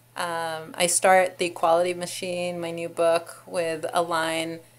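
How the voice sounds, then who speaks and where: In an Israeli accent, a woman speaks at a very slow pace in a fairly low voice with monotone, flat intonation. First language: Hebrew. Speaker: law professor and author; law professor. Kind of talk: interview. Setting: university office. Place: office. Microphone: webcam.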